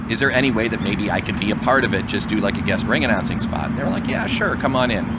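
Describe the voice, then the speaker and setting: A man talks at a very fast pace with ordinary pitch variation. Noticeable background noise is audible. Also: medium pitch for a man. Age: 40s. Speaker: radio personality and wrestling announcer. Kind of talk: casual chat.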